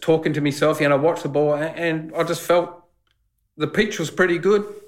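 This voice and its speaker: With an Australian accent, a man talks at a fairly high pitch using fairly even intonation. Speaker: former cricketer. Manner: loud.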